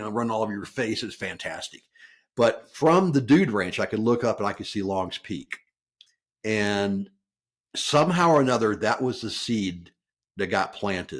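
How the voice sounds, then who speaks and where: At a moderate pace, a speaker with an American accent comes through on a very clean recording with a silent background. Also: man. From US South, Memphis, Tennessee. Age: 60s. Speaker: mountaineer. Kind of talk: podcast interview. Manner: reflective, conversational with hesitations.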